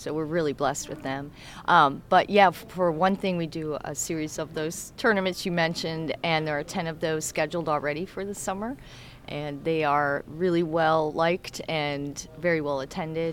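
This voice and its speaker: A woman speaks at a very deep, low pitch. Her pace is moderate and her intonation fairly even. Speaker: community tennis organizer. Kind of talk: casual interview.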